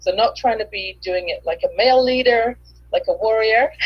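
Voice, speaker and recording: A woman with an English accent, talking at a moderate pace. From England. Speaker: author and business coach. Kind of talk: interview. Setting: live video stream.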